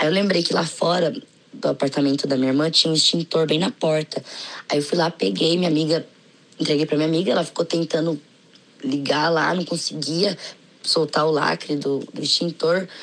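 A woman with a very deep, low pitch, a fairly quick pace, and ordinary pitch variation. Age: 20s. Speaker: podcast listener. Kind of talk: recorded personal story.

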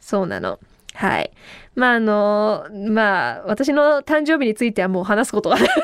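This woman talks at a moderate pace in a fairly high voice, her tone animated and her pitch varying in an ordinary way. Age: 30s. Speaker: radio host. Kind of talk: casual solo podcast talk. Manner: animated, frequent laughter.

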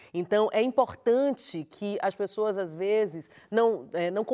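A woman's normal speaking voice at medium pitch, on a very clean recording with a silent background. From Bahia, Brazil. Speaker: journalist and TV presenter. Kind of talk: casual chat.

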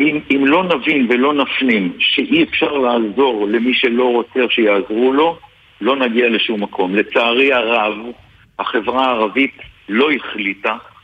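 A man's medium-pitched voice at a fairly slow pace, with ordinary pitch variation, very even loudness and noticeable background noise. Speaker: politician and retired general. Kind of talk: radio interview.

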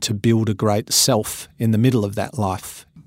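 In an Australian accent, a man speaks at a moderate pace with a fairly low pitch and monotone, flat intonation. The sound is dry and close, with no echo. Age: 50s. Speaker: motivational speaker and business coach. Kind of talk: interview.

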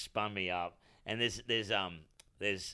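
Ordinary pitch variation runs through a bright, sharp tone with an Australian accent. The pace is moderate. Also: man. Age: 40s. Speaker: comedian. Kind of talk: casual chat.

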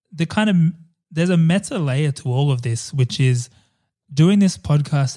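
A man with an Australian accent speaks in a dark, mellow, somewhat breathy tone with ordinary pitch variation. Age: 30s. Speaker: podcast host. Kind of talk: casual chat.

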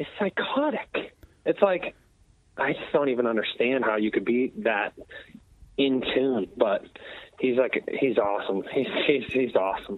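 At a fairly slow pace, a man of medium pitch speaks with long, frequent pauses. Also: lively intonation. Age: 20s. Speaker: metal band musician and vocalist. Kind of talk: casual interview.

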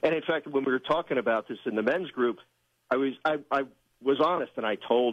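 This man talks at a fairly quick pace with a medium pitch and ordinary pitch variation. He has a plain, everyday voice. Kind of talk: devotional talk, Scripture reading.

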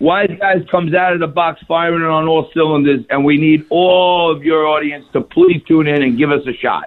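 A man with a New York accent, fairly even intonation and hardly any pauses. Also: fairly high pitch for a man, moderate pace. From Staten Island, New York City. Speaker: TV host. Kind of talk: radio interview.

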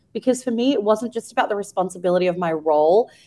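With an Australian accent, a woman talks at a very fast pace with ordinary pitch variation. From Australia (Melbourne). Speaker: magazine editor. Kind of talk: interview. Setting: radio studio.

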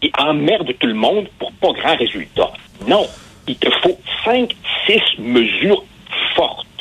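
A very slow pace with long, frequent pauses, amid noticeable background noise. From immigrant to Quebec. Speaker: newspaper columnist and sociologist. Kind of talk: interview.

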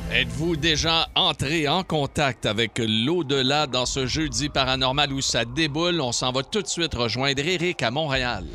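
This man has a normal speaking voice, fairly high in pitch, with ordinary pitch variation. He goes at a fairly slow pace with hardly any pauses. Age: 60s. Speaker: radio host. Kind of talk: casual chat.

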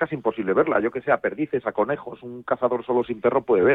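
Speaking at a fairly quick pace, a man uses a plain, everyday voice at a medium pitch. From León, Spain. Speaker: hunting club president. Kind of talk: radio interview.

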